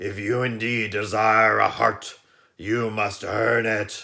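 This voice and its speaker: Putting on a character voice, a man growls and bellows in a gruff, raspy tone at medium pitch, with monotone, flat intonation and a fairly slow pace. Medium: read story. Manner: gruff, growling.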